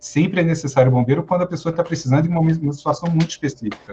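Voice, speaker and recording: A man's high-pitched voice at a very fast pace. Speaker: firefighter officer and psychologist. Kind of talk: lecture.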